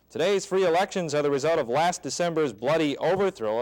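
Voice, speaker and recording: A man with an American accent talks at a moderate pace in an ordinary speaking voice, his intonation lively. The recording is very clean with a silent background. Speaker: television news anchor. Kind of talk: television news anchor delivery.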